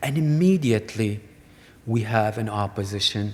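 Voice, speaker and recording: The voice is somewhat breathy, with ordinary pitch variation. Its pace is fairly slow. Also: man. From Iraq. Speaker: artist. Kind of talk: artist talk to audience. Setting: museum lecture hall.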